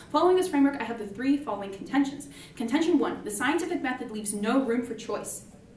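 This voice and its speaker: Lively intonation and big swings in loudness mark this very fast speech, heard with audible room echo and light background noise. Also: woman, high pitch for a woman. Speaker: student debater. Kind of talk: debate speech. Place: classroom.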